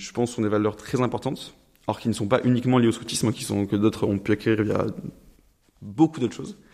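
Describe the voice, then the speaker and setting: With a dark, mellow tone, a man speaks in a fairly even intonation. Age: 20s. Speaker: engineering student. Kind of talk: interview. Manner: hesitant, many fillers.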